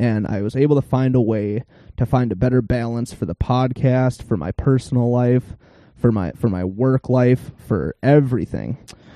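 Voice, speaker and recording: A man in a Minnesota accent, medium in pitch, with ordinary pitch variation and a moderate pace. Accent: Upper Midwest (northern Minnesota). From northern Minnesota, Iron Range. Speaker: podcast host. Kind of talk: casual podcast chat. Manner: animated.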